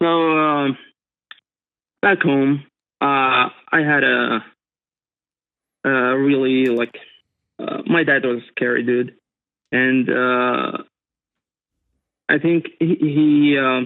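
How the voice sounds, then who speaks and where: A man with a non-native accent, fairly high pitch, fairly even intonation and a very slow pace broken by long, frequent pauses. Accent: non-native English speaker. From Middle East. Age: 30s. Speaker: caller. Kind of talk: call-in advice conversation. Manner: halting, many fillers.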